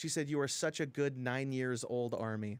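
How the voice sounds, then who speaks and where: A man at a fairly high pitch and fairly quick pace in a very clean recording with a silent background. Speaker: gaming streamer. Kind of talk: casual chat. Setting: live stream. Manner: loud.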